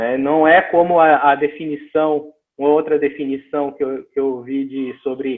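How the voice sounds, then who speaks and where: A fairly high-pitched man in a northeastern Brazilian accent, his intonation fairly even. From Northeast Brazil. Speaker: missions speaker. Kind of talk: lecture. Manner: halting, with frequent repetitions.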